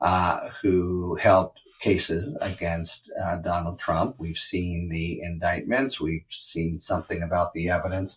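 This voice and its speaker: A man with a very deep, low pitch speaks fairly slowly and somewhat breathily, with fairly even intonation and hardly any pauses. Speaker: legal analyst podcast host. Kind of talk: solo commentary. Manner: even-keeled.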